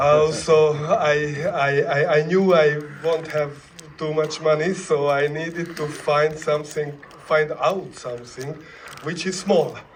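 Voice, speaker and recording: Amid noticeable background noise and audible room echo, a man with a fairly high pitch speaks at a very slow pace in a monotone, flat intonation. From Hungary. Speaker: film director. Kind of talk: festival Q&A. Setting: stage with audience. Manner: halting.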